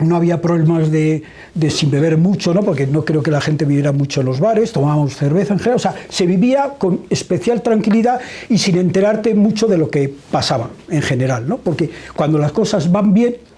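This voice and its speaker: Fairly quick, lively speech from a high-pitched man, very even in loudness, over noticeable background noise. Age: 70s. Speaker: journalist interviewer. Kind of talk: book presentation interview. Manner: hesitant.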